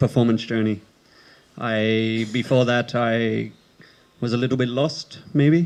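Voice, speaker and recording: In an Australian accent, a man speaks at a fairly slow pace. His voice sits at a medium pitch with fairly even intonation. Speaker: theatre performer. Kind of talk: panel talk. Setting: open-air stage with audience.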